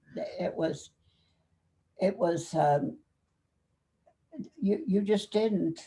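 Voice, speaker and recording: Lively in intonation, a woman speaks at a medium pitch and a fairly slow pace. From Kentucky. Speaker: army veteran. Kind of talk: interview. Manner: halting.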